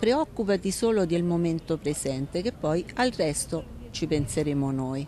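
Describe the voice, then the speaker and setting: A woman's fairly low, dark, mellow voice at a moderate pace, dry with no echo, with light background noise. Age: 50s. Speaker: writer; interviewee. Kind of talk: interview. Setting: outdoors. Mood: calm, reflective. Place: street. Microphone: handheld.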